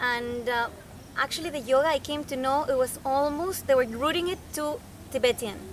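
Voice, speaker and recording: Speaking at a fairly quick pace, a woman with a Spanish accent has a high pitch. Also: ordinary pitch variation. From Venezuela (Caracas). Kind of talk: interview. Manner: halting, many fillers.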